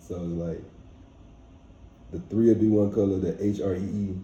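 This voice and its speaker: Through audible room echo, a man with a very deep, low pitch and a dark, mellow tone speaks in a monotone, flat way, somewhat breathy. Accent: Louisiana. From Louisiana, Baton Rouge. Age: 20s. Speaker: rapper. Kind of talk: casual interview.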